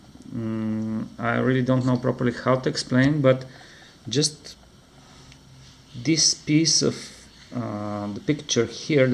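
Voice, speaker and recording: Speaking with a non-native accent, a man at medium pitch moves at a very slow pace with long, frequent pauses and ordinary pitch variation. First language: not English. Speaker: comic book reviewer. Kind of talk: product review. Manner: halting.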